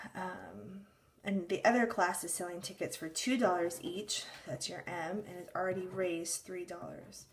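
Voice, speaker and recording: Delivered at a moderate pace with ordinary pitch variation. It is an ordinary speaking voice. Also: woman. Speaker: math teacher. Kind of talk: tutorial.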